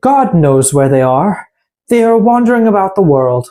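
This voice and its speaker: This put-on character voice sits at a middle pitch with very wide pitch swings. The pace is moderate. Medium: read story.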